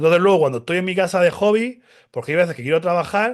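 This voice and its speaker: A man talks at a high pitch. His tone is animated. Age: 40s. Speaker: cybersecurity specialist. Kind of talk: casual interview. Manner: fast.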